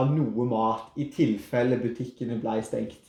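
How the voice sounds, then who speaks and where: A man with a Rogaland accent speaks at a fairly slow pace. His tone is dark and mellow, with ordinary pitch variation. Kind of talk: podcast conversation.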